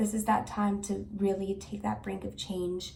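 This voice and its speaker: Fairly slow speech from a woman, audible room echo around it. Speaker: tarot card reader. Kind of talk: tarot reading to camera. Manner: halting, with fillers and restarts.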